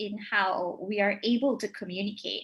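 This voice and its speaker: A woman speaks with a bright, sharp tone. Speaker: communication lecturer. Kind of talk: panel discussion. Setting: livestream. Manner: not loud.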